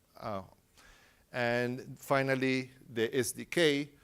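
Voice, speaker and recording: A man with a Spanish accent on a very clean recording with a silent background. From Uruguay. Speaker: tech company engineer presenting at a conference. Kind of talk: conference talk. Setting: stage with audience.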